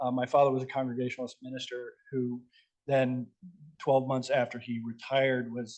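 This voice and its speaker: In a medium pitch, a man speaks with monotone, flat intonation. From US Midwest, Moline Illinois. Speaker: nonprofit housing development executive. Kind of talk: panel presentation. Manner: very fast.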